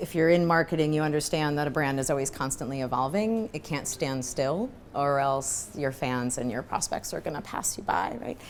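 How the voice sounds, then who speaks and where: Speaking with a New York accent, a woman uses a very deep, low pitch with ordinary pitch variation, moving at a moderate pace with hardly any pauses. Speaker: marketing executive. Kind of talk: fireside chat interview. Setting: live event with audience.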